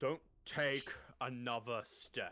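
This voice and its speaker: Putting on a character voice, a man booms out at a medium pitch. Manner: commanding.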